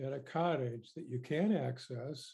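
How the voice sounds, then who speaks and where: A somewhat breathy man's voice at medium pitch, fairly slow in pace, with ordinary pitch variation. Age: 70s. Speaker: member of the public presenting to a committee. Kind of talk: prepared statement to a legislative committee. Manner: formal.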